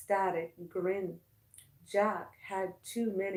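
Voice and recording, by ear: A passage read aloud in a natural voice.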